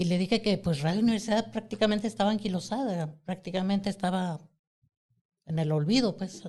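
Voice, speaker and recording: Here a man speaks at a fairly quick pace. His pitch is high, with ordinary variation. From Mexico City. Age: 60s. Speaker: podcast host. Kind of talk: casual chat.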